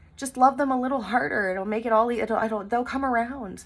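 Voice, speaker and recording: Loud and at a moderate pace, a woman speaks. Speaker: tarot reader. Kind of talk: spiritual tarot reading monologue. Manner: energetic.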